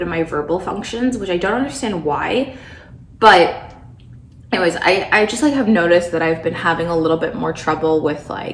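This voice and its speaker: A woman talks with lively intonation. Audible room echo and noticeable background noise are present. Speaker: lifestyle vlogger. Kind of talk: casual vlog talk to camera. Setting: at home in condo.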